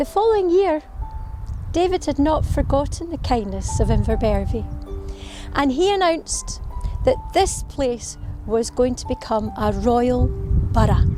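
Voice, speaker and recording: A woman at a fairly slow pace with long, frequent pauses, music in the background. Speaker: storyteller. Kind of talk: local history storytelling to camera. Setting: outdoors.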